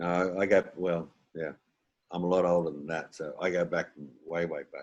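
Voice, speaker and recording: The speaker has an Australian accent. The intonation is monotone and flat. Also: man, very deep, low pitch for a man, moderate pace. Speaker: comedian and impressionist. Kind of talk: casual chat. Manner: halting.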